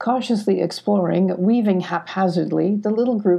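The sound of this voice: With ordinary pitch variation, the speaker uses an unforced reading voice.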